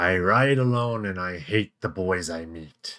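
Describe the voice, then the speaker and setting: The speaker puts on a character voice and delivers it at a fairly slow pace. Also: man, very deep, low pitch for a man. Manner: poetic, melancholy reading.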